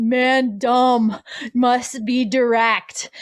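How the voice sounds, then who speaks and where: A put-on character voice with monotone, flat intonation. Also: female-sounding voice, high pitch for a woman. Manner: dumb, blunt, humorous.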